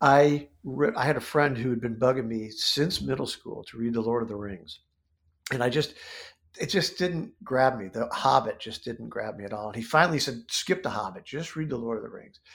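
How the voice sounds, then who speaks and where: Using an ordinary speaking voice, a man talks at medium pitch and a moderate pace, with ordinary pitch variation and big swings in loudness. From US Midwest, central Ohio. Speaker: comic book writer and illustrator. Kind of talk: interview conversation.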